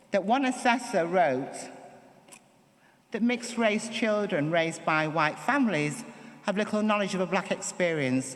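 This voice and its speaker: Someone with a Manchester accent speaks at a moderate pace. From northern England, Manchester. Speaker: performance poet. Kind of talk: acceptance speech. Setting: stage with audience. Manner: reading from notes.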